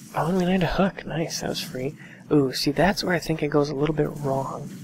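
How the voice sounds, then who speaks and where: A soft-spoken woman talks at a fairly quick pace with a very deep, low pitch and fairly even intonation. Noticeable background noise sits behind her. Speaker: gaming coach commentator. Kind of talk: gameplay commentary and coaching. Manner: quiet, soft-spoken.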